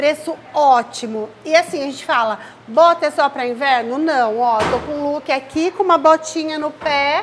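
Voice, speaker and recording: Over light background noise, a woman's high voice moves with lively intonation. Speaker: shoe store seller. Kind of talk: sales pitch. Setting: store promo video. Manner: animated, upbeat; repeats discounts emphatically. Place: shop. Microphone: lapel.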